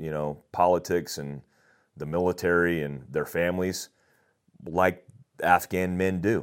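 A man with a very deep, low pitch talks with an American accent and fairly even intonation. The recording is very clean, with a silent background. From US South, Daytona Beach, Florida. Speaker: former special forces soldier. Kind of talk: interview conversation.

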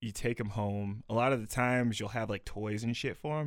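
A man has a plain, everyday voice at a medium pitch with ordinary pitch variation, speaking at a moderate pace. The recording is very clean, with a silent background. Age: 20s. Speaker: podcast co-host. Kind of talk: show outro and plugs; casual chat. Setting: studio.

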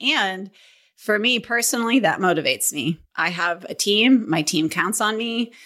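A woman with an American accent speaks at a moderate pace in a fairly high pitch, her tone bright and sharp. Her intonation is lively, and the recording is very clean with a silent background. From northern Minnesota. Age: 50s. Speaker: real estate team leader. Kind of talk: interview.

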